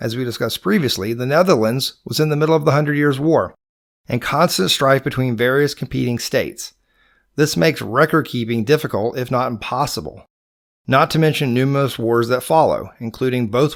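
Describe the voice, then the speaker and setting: At a fairly quick pace, a man with a Georgia accent speaks at a medium pitch with ordinary pitch variation. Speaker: podcast host. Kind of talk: scripted narration.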